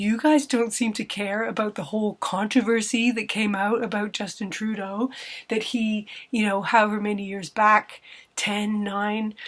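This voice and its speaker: A woman with a Canadian accent speaks at a fairly slow pace, her fairly high voice keeping a fairly even intonation. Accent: Canadian, noticeable to British listeners. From Canada. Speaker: vlogger. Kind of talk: casual vlog monologue. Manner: conversational, with hesitations and self-corrections.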